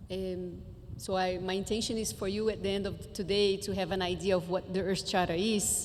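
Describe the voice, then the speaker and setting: Medium-pitched woman with a Portuguese accent, moderate pace, audible room echo. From Brazil, Brasilia. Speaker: education conference speaker. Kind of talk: conference presentation.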